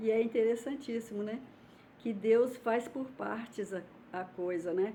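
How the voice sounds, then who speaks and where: Speaking at a fairly slow pace, a woman has a medium pitch, a dark, mellow tone and ordinary pitch variation. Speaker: YouTuber, religious commentator. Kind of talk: casual vlog talk. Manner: informal, hesitant.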